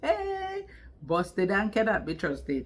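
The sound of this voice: Speaking at a slow pace, a woman with a medium pitch and fairly bright tone makes very wide pitch swings.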